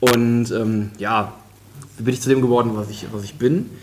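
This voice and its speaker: A man talks at a medium pitch. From western Germany, Krefeld. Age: 20s. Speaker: software developer. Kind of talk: casual chat. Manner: halting, many fillers.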